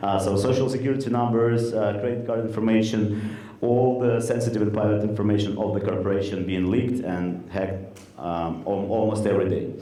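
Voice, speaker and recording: A man speaks with a Russian accent at a fairly quick pace, his pitch fairly low and his intonation fairly even. Audible room echo and noticeable background noise surround his voice. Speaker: startup co-founder. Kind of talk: product demo pitch. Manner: halting, many fillers.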